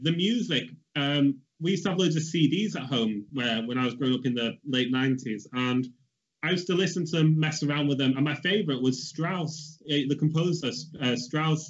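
The speaker talks at a moderate pace in a Mancunian accent. The loudness stays very even. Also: man. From Stockport, Greater Manchester, England. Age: 20s. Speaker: portrait artist. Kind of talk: casual interview chat.

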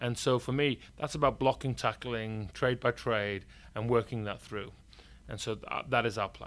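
On a very clean recording with a silent background, a man with a Yorkshire accent speaks at medium pitch and a moderate pace, his intonation fairly even and his loudness swinging widely. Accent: northern English (Yorkshire). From Yorkshire, northern England. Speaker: company CEO. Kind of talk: casual interview.

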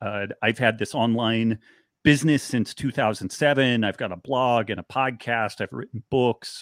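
This man has a plain, everyday voice and an American accent. He speaks at a medium pitch and moderate pace, with fairly even intonation. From rural Northern California. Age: 50s. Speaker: author and biochemist. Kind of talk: interview.

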